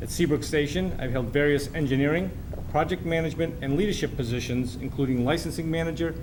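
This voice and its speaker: Speaking at a very fast pace, a man's voice sits fairly high, with ordinary pitch variation. Noticeable background noise and audible room echo fill the recording. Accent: American. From Massachusetts. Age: 60s. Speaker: city council candidate. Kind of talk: debate opening statement. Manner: formal.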